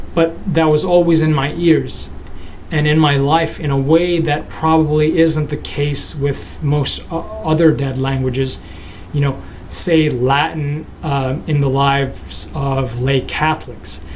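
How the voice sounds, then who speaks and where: Speech unfolds at a fairly slow pace. Noticeable background noise is present. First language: Nepali. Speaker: philosophy vlogger. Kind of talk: casual vlog monologue. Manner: halting, many fillers and restarts.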